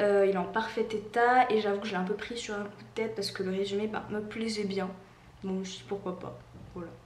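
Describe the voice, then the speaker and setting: Over audible room echo and noticeable background noise, a woman talks at a fairly quick pace with big swings in loudness. Her pitch is medium, and her intonation is monotone and flat. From Réunion. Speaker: book YouTuber. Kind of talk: casual vlog monologue. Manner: hesitant, many fillers.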